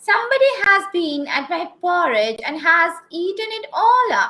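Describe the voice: A woman puts on a squeaky character voice, pitched extremely high, and talks at a moderate pace.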